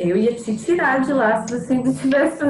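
A woman at a fairly quick pace with lively intonation amid noticeable background noise. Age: 20s. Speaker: actress. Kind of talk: casual chat.

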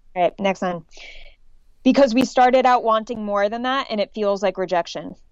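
Fairly high-pitched and moderate in pace, a woman's plain, everyday voice with ordinary pitch variation. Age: 20s. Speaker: dating coach. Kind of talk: casual interview chat.

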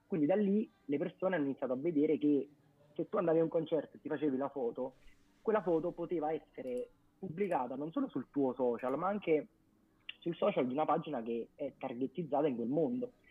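Lively intonation marks a man's very fast speech. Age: 20s. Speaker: music page co-founder. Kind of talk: casual interview on live stream.

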